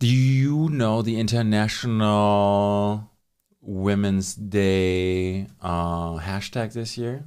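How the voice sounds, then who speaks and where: Pitch varies in an ordinary way as the words come at a very slow pace. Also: man, fairly low pitch for a man. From Germany. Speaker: podcast host. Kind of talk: casual chat. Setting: studio. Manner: excitable.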